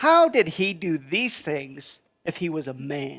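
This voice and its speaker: A cartoonish character voice sits at a middle pitch. It moves at a fairly slow pace. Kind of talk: puppet show dialogue.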